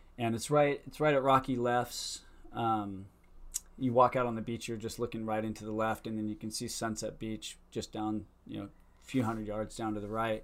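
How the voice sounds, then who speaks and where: A man talks at a moderate pace with an American accent. His is a plain, everyday voice, medium in pitch, with fairly even intonation. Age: 50s. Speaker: surfer and filmmaker. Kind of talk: casual chat.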